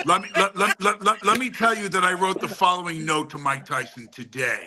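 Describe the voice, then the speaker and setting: A man speaks in a high pitch with a raised, projected voice and lively intonation. His pace is fairly quick, and there is noticeable background noise. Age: 60s. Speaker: actor. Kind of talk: casual chat. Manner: animated.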